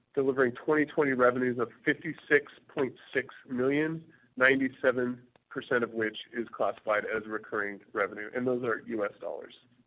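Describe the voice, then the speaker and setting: Using an ordinary speaking voice, a man with an American accent talks at a fairly quick pace in a medium pitch with fairly even intonation. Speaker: company CEO. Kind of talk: investor presentation. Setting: conference call. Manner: formal.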